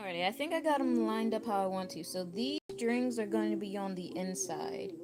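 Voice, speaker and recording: A woman at medium pitch with very wide pitch swings and a fairly quick pace, amid audible room echo and noticeable background noise. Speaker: crochet livestreamer. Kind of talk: livestream craft tutorial. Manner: fast; casual, chatty.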